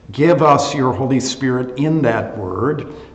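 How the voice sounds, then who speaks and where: Over light background noise and audible room echo, a man speaks at a fairly slow pace with ordinary pitch variation. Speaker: associate pastor. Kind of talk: bible study teaching and prayer. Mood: relaxed, good-humored. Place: classroom. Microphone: webcam.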